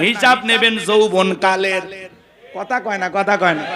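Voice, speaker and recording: A man uses a raised, projected voice at a high pitch with an animated tone. Noticeable background noise runs underneath. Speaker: Islamic preacher. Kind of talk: sermon. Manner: loud.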